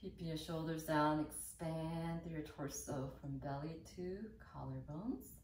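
With light background noise and audible room echo, the voice moves at a fairly slow pace with fairly even intonation. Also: woman, very deep, low pitch for a woman. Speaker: yoga teacher. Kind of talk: guided seated yoga and meditation-prep instruction, calm cueing. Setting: video tutorial. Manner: calm, slow, soothing, gentle; instructional, warm and encouraging. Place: home room.

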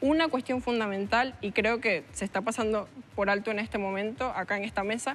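The speech moves at a fairly quick pace with fairly even intonation over light background noise. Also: woman. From Venezuela, Valencia (Carabobo); Carabobo, Venezuela. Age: 20s. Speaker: university student; interview guest. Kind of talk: TV panel discussion. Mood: earnest, impassioned. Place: studio. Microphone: lapel.

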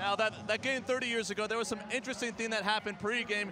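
Over noticeable background noise, a man with an American accent speaks in a raised, projected voice at a very fast pace. His high-pitched delivery is upbeat and energetic, with a dry sound and no echo. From Montana, USA. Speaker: sports anchor and reporter. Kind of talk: local TV sports broadcast. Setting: arena sideline, courtside reporting. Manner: upbeat, energetic. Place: stadium. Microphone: handheld.

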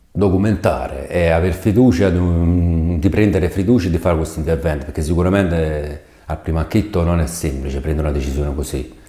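There is audible room echo around a man whose voice is very deep and low. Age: 50s. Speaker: patient. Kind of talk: testimony. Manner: halting. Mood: calm, grateful. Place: studio. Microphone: lapel.

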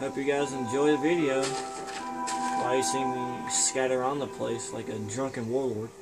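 Over loud background music, a man talks with hardly any pauses. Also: moderate pace. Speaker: gamer. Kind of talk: casual gameplay commentary. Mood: playful, joking. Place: home room. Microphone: phone near.

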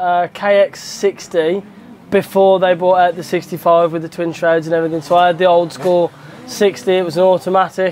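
A man speaks at a moderate pace with a high pitch. His intonation is flat and monotone over light background noise. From England, West Midlands (Stourbridge); West Midlands, England. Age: 20s. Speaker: motocross rider. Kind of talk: interview answers. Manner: casual, hesitant fillers. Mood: relaxed, jokey. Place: garage. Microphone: lapel.

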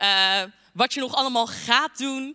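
Over a quiet background, a woman speaks at a moderate pace with a bright, sharp tone and ordinary pitch variation. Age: 20s. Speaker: youth church speaker; speaker. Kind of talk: short sermon. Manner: talkative, many filler words. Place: hall. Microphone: handheld.

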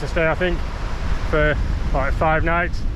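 The sound is dry, with no echo, and noticeable background noise. The pace is moderate. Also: man. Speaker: travel vlogger. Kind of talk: casual vlog chat. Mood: relaxed and happy. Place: beach. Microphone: phone near.

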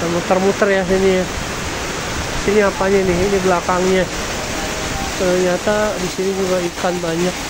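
A man at a moderate pace, with long, frequent pauses and loud background noise. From Jakarta, Indonesia. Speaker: travel vlogger. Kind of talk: casual vlog narration. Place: shop. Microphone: phone near.

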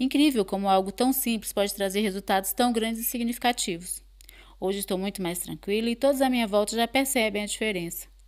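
Fairly quick and fairly high-pitched, a woman with a normal speaking voice talks with ordinary pitch variation in a very clean recording against a silent background. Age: 40s. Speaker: course participant. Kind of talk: testimony.

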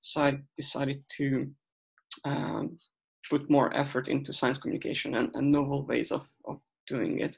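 A man with a Hungarian accent speaks at a moderate pace. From Hungary. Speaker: researcher. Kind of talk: presentation. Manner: halting.

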